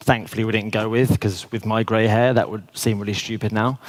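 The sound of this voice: The speaker is a man with fairly low pitch. There is little pitch movement in his voice.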